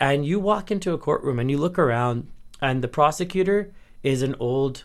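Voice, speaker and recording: A man speaks at a moderate pace in an ordinary speaking voice with a fairly high pitch. The recording is very clean, with a silent background, and his pitch varies in an ordinary way. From Edmonton, Canada. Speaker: lawyer. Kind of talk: casual interview chat.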